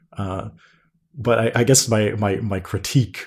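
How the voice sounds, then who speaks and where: In a very clean recording with a silent background, a somewhat breathy man with a Canadian accent speaks at a moderate pace with fairly even intonation. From Canada. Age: 20s. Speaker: podcast guest. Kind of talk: casual chat.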